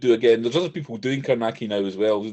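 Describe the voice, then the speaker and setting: Speaking very fast with a Scottish accent, a man uses a medium pitch and lively intonation. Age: 60s. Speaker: horror author. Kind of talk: interview.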